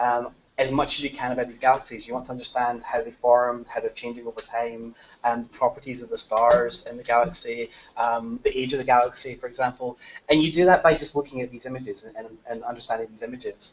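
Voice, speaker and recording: The voice has a strong Scottish accent and fairly even intonation. The pace is very fast. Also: man, big swings in loudness. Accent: Scottish, thick. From Scotland. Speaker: technical lead of a citizen science project, speaker. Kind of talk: workshop presentation to teachers.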